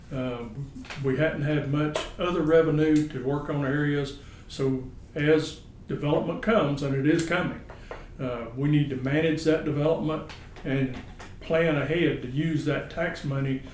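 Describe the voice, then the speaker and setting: Someone with a Southern US accent talks at a moderate pace in a monotone, flat intonation, with audible room echo and noticeable background noise. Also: man. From US South, northeast Florida. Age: 60s. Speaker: political candidate, businessman. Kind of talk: candidate interview answers. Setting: office.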